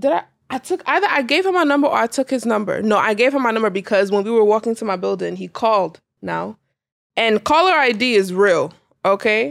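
A woman speaks at a fairly quick pace in a fairly high voice with very wide pitch swings, recorded very cleanly against a silent background with a dry, close sound and no echo. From US, Nigerian-American family. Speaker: podcast co-host. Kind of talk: casual chat. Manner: laughs often.

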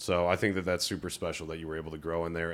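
On a very clean recording with a silent background, a man with an American accent talks very fast at a very deep, low pitch. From Ohio, US Midwest. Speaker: podcast host. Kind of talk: casual interview.

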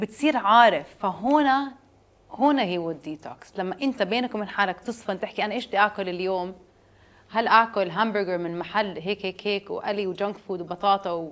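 A woman's normal speaking voice at medium pitch, with ordinary pitch variation. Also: moderate pace. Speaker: juice business founder. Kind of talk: interview.

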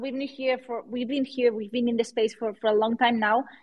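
Her high-pitched voice holds a fairly even intonation as this woman speaks. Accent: Spanish. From Spain. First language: Spanish. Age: 30s. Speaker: NFT artist and entrepreneur. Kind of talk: interview. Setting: live online audio room. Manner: halting.

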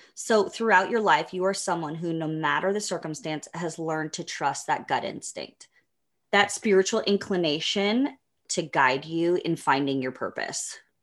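A woman's fairly low voice, a plain, everyday voice with ordinary pitch variation, over a quiet background. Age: 40s. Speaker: podcast co-host. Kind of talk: casual interview.

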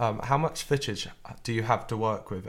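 A man with a normal speaking voice talks at a fairly quick pace, his medium pitch showing ordinary variation. The recording is very clean, with a silent background. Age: young. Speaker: student podcast co-host. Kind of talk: interview; scripted narration.

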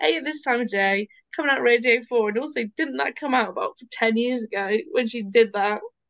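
Speaking at a fairly quick pace in a British accent, a woman uses lively intonation at a fairly high pitch. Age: 30s. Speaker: podcast co-host. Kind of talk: casual chat.

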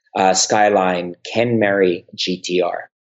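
The voice belongs to a man. He speaks with a slight New York accent. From US Northeast (Bronx, New York; New Jersey). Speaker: YouTuber and realtor. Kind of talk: interview.

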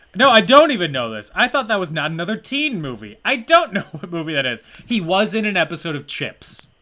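Raised and projected, a man's voice runs high in pitch with a bright, sharp tone and very wide pitch swings. He goes at a fairly quick pace with hardly any pauses and big swings in loudness. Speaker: movie podcast co-host. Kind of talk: casual chat.

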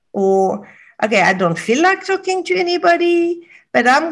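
A somewhat breathy woman with very wide pitch swings, against a quiet background. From Morocco. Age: 60s. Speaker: wisdom teacher. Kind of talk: interview.

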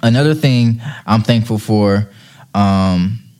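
Against a very clean recording with a silent background, a man speaks in an unremarkable speaking voice at medium pitch with ordinary pitch variation. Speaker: podcast host. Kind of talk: solo podcast monologue. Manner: thankful, friendly.

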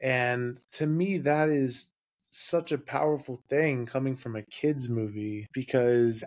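A man has an unremarkable speaking voice, medium in pitch, with fairly even intonation. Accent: American. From US South. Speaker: podcast guest. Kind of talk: casual chat.

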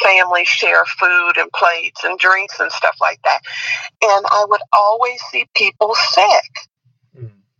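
A woman speaks at a fairly slow pace, the sound dry and close with no echo. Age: 60s. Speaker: host's mother. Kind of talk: casual chat.

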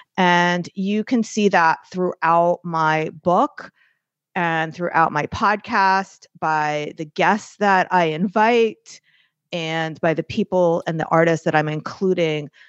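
A woman with an American accent speaks at a very slow pace. Her pitch is fairly low, with ordinary variation. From New York. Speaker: artist and business coach. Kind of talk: interview.

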